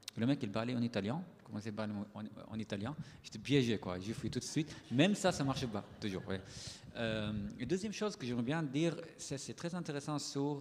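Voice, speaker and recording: Delivered at a fairly quick pace with lively intonation, the speech comes with a non-native accent. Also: man, medium pitch for a man. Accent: foreign accent in French. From Syria. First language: Arabic (speaking French). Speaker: writer and poet. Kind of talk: panel discussion.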